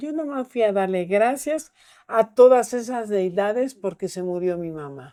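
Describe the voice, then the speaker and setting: A woman's dark, mellow tone, fairly high in pitch, with lively intonation at a fairly slow pace. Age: 80s+. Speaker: Santa Muerte devotee and altar keeper. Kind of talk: casual chat.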